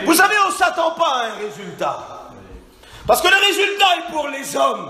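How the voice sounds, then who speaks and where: A man's raised, projected voice at an extremely high pitch, with very wide pitch swings, a moderate pace, audible room echo and noticeable background noise. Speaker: preacher. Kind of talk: sermon. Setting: church. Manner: loud; animated.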